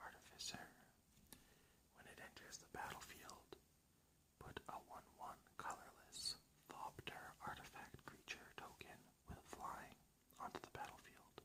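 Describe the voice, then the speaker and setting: The pace is fairly slow. Everything is whispered. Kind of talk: ASMR card pack opening.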